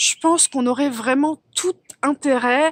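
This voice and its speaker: The sound is close and dry, without any echo. The speaker is a woman. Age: 40s. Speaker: life coach for mothers. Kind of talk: casual talk to camera.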